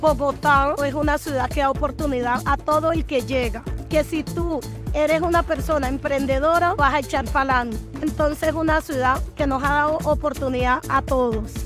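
Over music in the background, a woman with a Colombian Pacific coast accent talks at a moderate pace in a high pitch with fairly even intonation. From Chocó, Colombian Pacific. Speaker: market food vendor. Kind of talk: interview answer.

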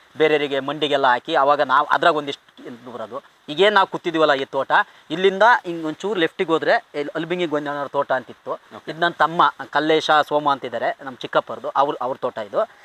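Noticeable background noise runs behind a man whose voice sits fairly high. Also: ordinary pitch variation. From Kadur, Chikkamagaluru district, Karnataka. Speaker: comedy film actor. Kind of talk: casual interview, life story. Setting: outdoors in an areca plantation.

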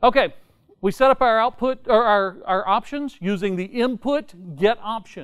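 This is a man with a high-pitched voice. The background is quiet. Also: ordinary pitch variation, moderate pace. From Tennessee. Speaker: software conference speaker; conference speaker. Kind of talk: technical talk. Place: meeting room. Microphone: lapel.

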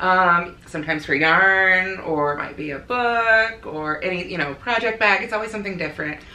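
With an American accent and medium pitch, a woman speaks at a moderate pace with hardly any pauses and ordinary pitch variation, her voice carrying audible room echo. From US Midwest, rural northern Illinois. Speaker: crochet designer and blogger; blogger. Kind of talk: casual interview chat. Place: home room.

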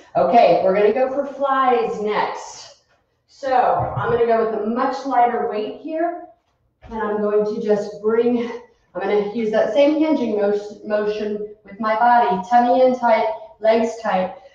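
A woman's fairly slow speech in strong room echo, with big swings in loudness and ordinary pitch variation. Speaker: fitness instructor. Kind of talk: workout instruction. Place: gym. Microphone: webcam.

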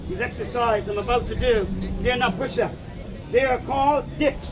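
A loud, upbeat man with an extremely high pitch at a moderate pace, crowd noise in the background. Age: 50s. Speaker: street performer and acrobat. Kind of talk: street show crowd patter. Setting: outdoors. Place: street. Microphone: camera far.

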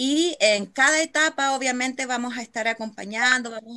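Her tone bright and sharp, a woman speaks at a high pitch and a fairly slow pace. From Chile. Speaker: nonprofit facilitator. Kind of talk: online meeting moderation. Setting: video call. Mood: warm, friendly. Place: home room. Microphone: video call.

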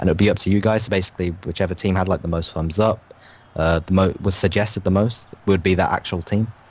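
In an English accent, a man with a very deep, low pitch talks at a very fast pace, with fairly even intonation and very even loudness. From England. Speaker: gaming youtuber. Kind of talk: casual chat.

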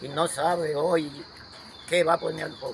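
The voice has a monotone, flat intonation, with light background noise behind it. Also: man. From rural Dominican Republic. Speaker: farmer. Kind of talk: storytelling interview. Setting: at his home. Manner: halting. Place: open country. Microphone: phone near.

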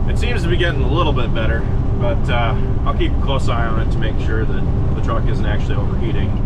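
Loud background noise accompanies a man speaking at a fairly quick pace. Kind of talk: casual vlog chat. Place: car. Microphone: camera far.

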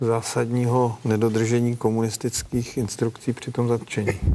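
In a dark, mellow tone, a man speaks at a moderate pace with monotone, flat intonation over light background noise. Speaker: discussion guest or host. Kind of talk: documentary discussion. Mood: earnest, reflective. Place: studio.

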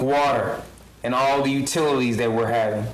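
Audible room echo fills the space. Within it, a man talks with fairly even intonation. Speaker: pastor giving invocation. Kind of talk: prayer. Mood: solemn, earnest. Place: hall. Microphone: podium.

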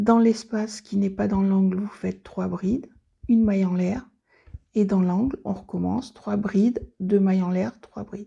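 A woman speaks fairly slowly at a medium pitch, her dark, mellow tone carrying a slightly husky edge and vocal fry over fairly even intonation.

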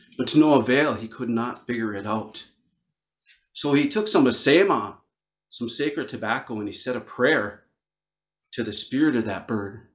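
Speaking with an Upper Midwest US accent, a man keeps a moderate pace and lively intonation. The background is quiet. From northern Wisconsin. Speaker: Ojibwe storyteller and flute player. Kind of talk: storytelling performance. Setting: virtual video call with audience. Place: home room. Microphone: studio mic.

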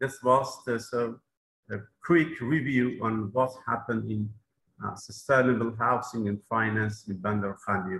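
With a Persian accent, a man speaks at a fairly slow pace and varies his pitch in an ordinary way. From southern Iran. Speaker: mayor; presenter. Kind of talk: conference presentation. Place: office. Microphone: video call.

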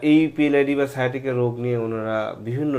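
A plain, everyday voice from a man, medium in pitch, with ordinary pitch variation. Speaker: anesthesiologist and pain medicine doctor. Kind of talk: patient testimonial interview and medical explanation.

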